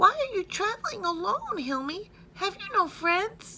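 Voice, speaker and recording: A put-on character voice, squeaky and extremely high-pitched, at a moderate pace over clear background noise. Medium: read story. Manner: warm, earnest.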